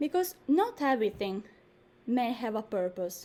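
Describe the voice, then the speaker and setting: With a non-native accent, a woman speaks at a fairly slow pace in a dark, mellow tone, her pitch swinging very widely. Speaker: dancer and performance artist. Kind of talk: introduction to a live online performance. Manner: animated.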